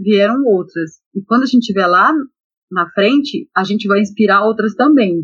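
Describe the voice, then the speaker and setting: With lively intonation and a somewhat breathy tone, a woman talks at a moderate pace in a fairly high pitch. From Brazil, Belém (Pará). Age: 40s. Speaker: electrical engineer. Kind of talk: interview.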